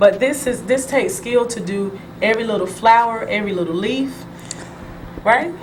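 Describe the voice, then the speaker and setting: In an animated tone, a woman speaks at a fairly high pitch and a moderate pace with ordinary pitch variation and long, frequent pauses, amid noticeable background noise and audible room echo. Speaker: talk show host. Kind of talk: TV talk show interview. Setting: TV studio.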